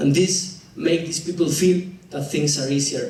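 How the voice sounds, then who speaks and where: Someone speaks with a Spanish accent at a moderate pace and with ordinary pitch variation, with audible room echo and noticeable background noise. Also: man. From Argentina. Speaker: dentist and public speaker. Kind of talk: presentation talk. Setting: stage with audience. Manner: halting.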